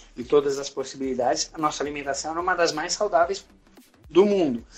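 A man's high pitch with ordinary pitch variation and a Brazilian accent. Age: 50s. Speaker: pilates instructor. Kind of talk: interview. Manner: halting.

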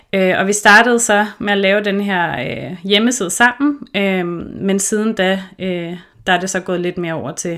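A woman speaks fairly slowly in a normal speaking voice, her medium pitch moving with ordinary variation. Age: 30s. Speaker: podcast host, intuitive eating counselor. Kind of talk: casual chat. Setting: remote recording.

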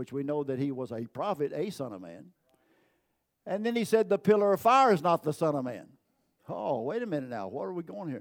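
A man speaks with very wide pitch swings. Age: 80s+. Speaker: pastor. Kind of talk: sermon. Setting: church.

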